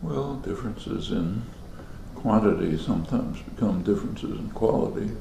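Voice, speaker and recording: A soft-spoken man with a fairly low pitch, lively intonation and a moderate pace, amid noticeable background noise. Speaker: linguist and political commentator. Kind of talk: interview answer.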